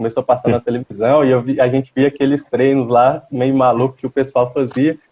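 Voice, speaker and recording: Spoken at a moderate pace, the voice comes over music playing in the background. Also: man. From Goiás, Brazil (Itapuranga). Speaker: dentist and CrossFit athlete. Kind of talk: live-stream interview.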